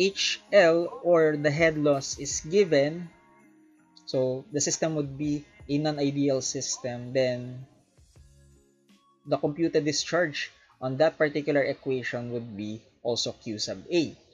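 Long, frequent pauses at a fairly slow pace, with faint music behind. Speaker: engineering instructor. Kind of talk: lecture.

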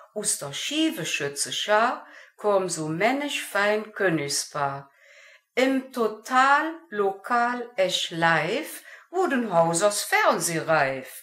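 Very slowly, a woman speaks in a bright, sharp tone with very wide pitch swings. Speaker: amateur dialect poet. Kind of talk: poetry reading.

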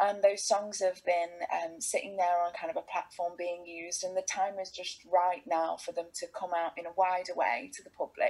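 A woman with an East Midlands accent talks at a moderate pace with hardly any pauses. Her loudness swings widely over music in the background. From England, Derby (East Midlands). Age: 30s. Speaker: folk singer-songwriter. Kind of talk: casual chat. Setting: video call. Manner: animated. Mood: warm, animated storytelling. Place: home room. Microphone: video call.

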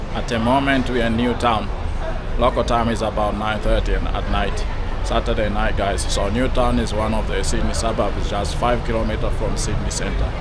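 Music playing behind a man speaking at a moderate pace. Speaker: walking tour vlogger. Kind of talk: casual vlog chat. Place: street. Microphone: phone near.

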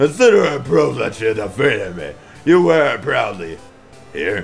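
With faint music in the background, a man does a put-on character voice at a moderate pace. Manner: solemn, formal.

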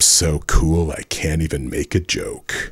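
A man talks while music plays in the background. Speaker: author. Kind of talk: comedic parody trailer narration.

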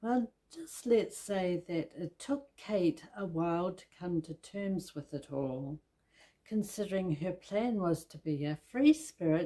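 A woman with a New Zealand accent speaks at a very slow pace in a fairly low pitch, her dark, mellow tone showing ordinary pitch variation against a quiet background. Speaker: book reviewer. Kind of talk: scripted book review read. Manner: hesitant, with filler sounds. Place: home room.

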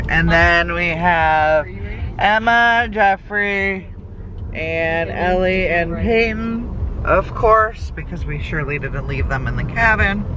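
A woman speaks at a very slow pace. The sound is dry with no echo, though background noise is noticeable. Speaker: family vlogger. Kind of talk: casual vlog chat. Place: car. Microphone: phone near.

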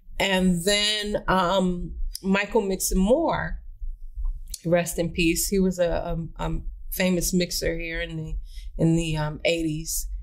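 Against a quiet background, a woman with an American accent speaks at a very slow pace and a fairly low pitch, her intonation fairly even. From Northern California, Bay Area; Northern California. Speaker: radio veteran and media studio owner; podcast guest. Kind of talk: interview. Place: studio. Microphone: studio mic.

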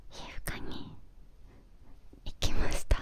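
A soft-spoken woman whispers at a very slow pace. The sound is dry with no echo, and there is light background noise. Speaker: ASMR-style creator. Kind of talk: soft casual talk about skincare. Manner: soft close-mic ASMR whisper. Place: home room. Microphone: studio mic.

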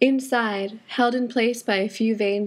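Monotone, flat intonation marks this woman's fairly high-pitched voice. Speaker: student audio drama creator. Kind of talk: audio drama stage directions.

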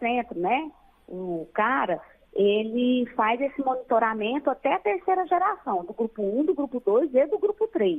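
Her voice is high-pitched, and the intonation is lively. The woman talks at a moderate pace. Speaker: director of a radiation accident care center. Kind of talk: interview. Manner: halting, many fillers.

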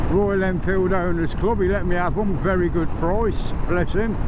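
Noticeable background noise runs under fairly slow speech. The sound is dry with no echo. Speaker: motorbike rider vlogger. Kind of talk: casual vlog chat. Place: motorbike. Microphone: helmet.

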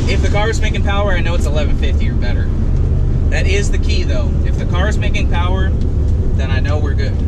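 A man speaks at a fairly quick pace. Loud noise sits in the background. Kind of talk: casual vlog chat. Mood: excited, laughing. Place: car. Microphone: camera far.

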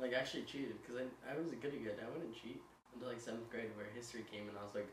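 With strong room echo, a man talks at a very fast pace, holding a medium pitch and fairly even intonation.

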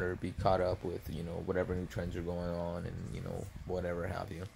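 Over light background noise, a soft-spoken man with a very deep, low pitch talks at a moderate pace. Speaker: ASMR vlogger. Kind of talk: ASMR eating video with casual rant. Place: home room. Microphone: phone near.

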